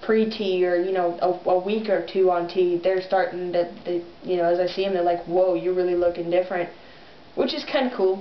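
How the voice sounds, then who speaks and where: A woman at a medium pitch with fairly even intonation and a moderate pace, over noticeable background noise. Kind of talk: video diary update. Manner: casual, many fillers.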